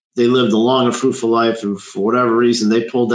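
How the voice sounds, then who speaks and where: Intonation stays monotone and flat. It is a man talking. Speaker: financial advisor. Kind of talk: webinar discussion.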